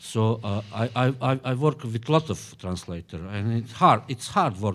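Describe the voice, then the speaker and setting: The speaker has a Bosnian accent and talks at a fairly slow pace. The recording is very clean, with a silent background. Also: man. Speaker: novelist. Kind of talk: panel discussion. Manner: halting, many hesitations.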